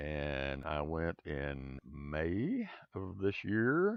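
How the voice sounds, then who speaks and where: Lively intonation marks the speech of this man. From United States. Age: 70s. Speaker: travel vlogger. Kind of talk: casual vlog monologue. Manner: halting, with repetitions.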